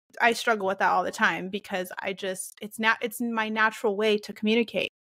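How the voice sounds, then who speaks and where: Shouting loudly at a moderate pace, a woman uses a fairly high pitch and a bright, sharp tone. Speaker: podcast host, homeschooling mom. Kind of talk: casual chat. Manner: loud, often sounds like yelling; blunt, direct.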